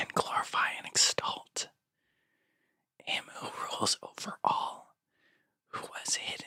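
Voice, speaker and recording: A man whispering at a very slow pace, in a dry, close sound with no echo. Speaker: ASMR and gospel reader. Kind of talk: scripture reading. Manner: whispered, soft-spoken.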